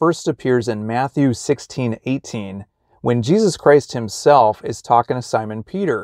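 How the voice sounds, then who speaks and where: At a fairly slow pace, a man speaks with ordinary pitch variation, the sound dry with no echo and the background quiet. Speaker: religious vlogger. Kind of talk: casual vlog chat. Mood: reflective, friendly. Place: car. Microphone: phone near.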